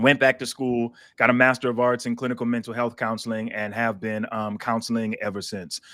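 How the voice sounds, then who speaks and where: With an American accent, a man at medium pitch speaks fairly quickly with hardly any pauses, in a bright, sharp tone and monotone, flat intonation, in a very clean recording with a silent background. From South Carolina. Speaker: pastor and licensed counselor. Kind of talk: interview. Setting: live stream.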